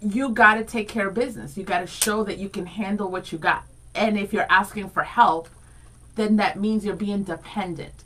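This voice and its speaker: Amid noticeable background noise, a woman with a Spanish accent talks in an animated tone at a medium pitch and a moderate pace. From Rhode Island, US (born Dominican Republic). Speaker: radio co-host. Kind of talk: casual chat.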